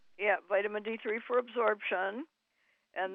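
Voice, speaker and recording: A woman speaks in an unremarkable speaking voice at a medium pitch. Her pitch varies in an ordinary way. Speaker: co-host or health advisor on a radio show. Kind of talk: radio show advice to a caller.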